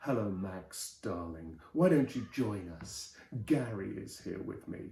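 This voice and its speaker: Using a put-on character voice, a man sounds husky and fairly low-pitched, with lively intonation and a fairly slow pace. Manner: crooning, seductive.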